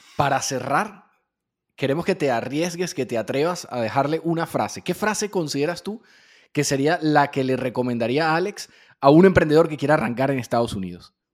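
In an unremarkable speaking voice, a man talks at a fairly quick pace and a fairly high pitch with lively intonation, in a very clean recording with a silent background. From Venezuela. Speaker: podcast host. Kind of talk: interview.

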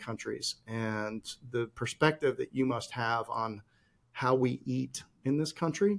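This man has an American accent and a medium pitch. He uses a normal speaking voice. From Chicago, US Midwest. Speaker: podcast host. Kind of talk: casual interview chat.

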